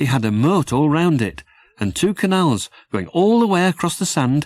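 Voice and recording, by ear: At a moderate pace, the voice makes big pitch swings with a slightly mellow tone. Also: man.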